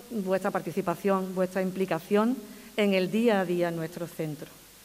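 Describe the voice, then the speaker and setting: The speaker is a woman who talks fairly quickly. She keeps her intonation fairly even. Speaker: school principal. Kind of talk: ceremonial speech. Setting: stage with audience. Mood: warm, grateful. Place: hall. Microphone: podium.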